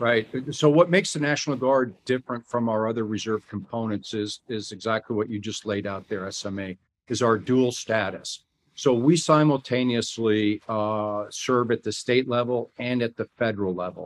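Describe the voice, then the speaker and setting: This man has an ordinary speaking voice, medium in pitch with ordinary pitch variation, at a moderate pace. The sound is dry and close with no echo, over a quiet background. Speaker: army general. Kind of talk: interview.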